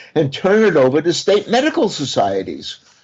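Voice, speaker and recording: With a Brooklyn accent, a man talks at a moderate pace with very wide pitch swings. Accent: Brooklyn accent, retained. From Brooklyn, New York. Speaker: criminal defense lawyer. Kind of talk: interview.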